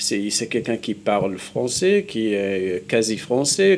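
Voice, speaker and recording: Lively intonation marks this fairly slow delivery in a Moroccan accent. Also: man. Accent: Moroccan accent in Hebrew. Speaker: Middle East specialist, university lecturer. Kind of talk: TV studio interview. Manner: halting, many repetitions.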